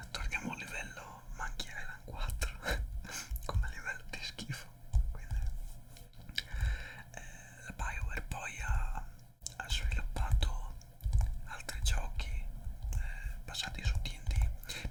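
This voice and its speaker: Very slow whispered speech from a man, broken by long, frequent pauses, with noticeable background noise. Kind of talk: ASMR whispered talk. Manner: improvised, rambling.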